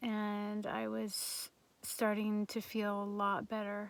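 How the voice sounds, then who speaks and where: A woman's fairly high voice at a very slow pace. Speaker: vlogger with chronic illness. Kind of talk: casual chat. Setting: home. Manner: halting.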